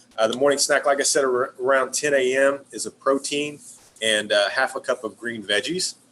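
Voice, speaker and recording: A man's medium-pitched voice keeps fairly even intonation. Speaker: wellness product distributor. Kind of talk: webinar presentation. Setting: live stream. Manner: fast.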